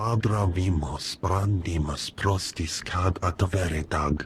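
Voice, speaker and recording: Over clear background noise, a man does a put-on character voice with a very deep, low pitch at a fairly slow pace. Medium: video game.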